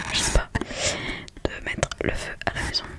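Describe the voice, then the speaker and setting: A woman whispers over noticeable background noise. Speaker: ASMR content creator. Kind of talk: casual talk to camera, ASMR video. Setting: home desk recording with USB microphone.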